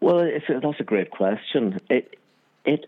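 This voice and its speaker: The voice moves through very wide pitch swings at a fairly slow pace. It carries a Northern Irish accent. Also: man. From Northern Ireland, Armagh. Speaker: cinematographer. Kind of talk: interview.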